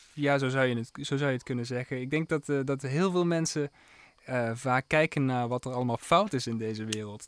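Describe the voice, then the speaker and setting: A man's unremarkable speaking voice holds a medium pitch, varies it in an ordinary way and moves at a moderate pace. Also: very clean recording, silent background. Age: 20s. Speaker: jazz pianist and composer. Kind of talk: radio interview. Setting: radio studio.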